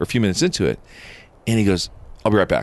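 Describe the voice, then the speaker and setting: The voice has a General American accent. Vocal fry runs through it. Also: man. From US West (Southern California). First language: Japanese. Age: 50s. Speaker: founder of a faith-based cigar fellowship club. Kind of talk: interview storytelling.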